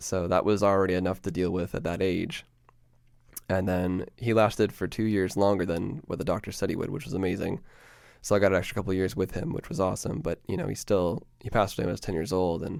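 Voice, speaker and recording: A man with a very deep, low pitch and a Canadian accent, speaking at a very fast pace with ordinary pitch variation, on a very clean recording with a silent background. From Ontario, Canada (Peterborough). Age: 20s. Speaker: podcast host. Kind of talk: personal monologue. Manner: casual, hesitant with many fillers.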